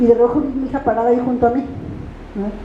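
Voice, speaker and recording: A woman talks at a very fast pace in a high pitch with an animated tone. Audible room echo and noticeable background noise come through. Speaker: pastor. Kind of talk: sermon.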